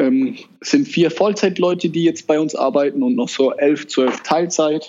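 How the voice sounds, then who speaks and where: With lively intonation and a fairly high pitch, a man speaks at a moderate pace in a plain, everyday voice. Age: 20s. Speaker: entrepreneur. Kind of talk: interview. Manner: casual.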